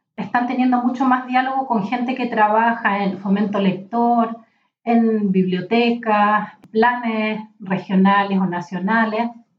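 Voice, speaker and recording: A woman speaks very slowly in a fairly high, somewhat breathy voice with fairly even intonation. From Chile, Valparaíso region (rural mountain area). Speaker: literature professor and librarian. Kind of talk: interview conversation.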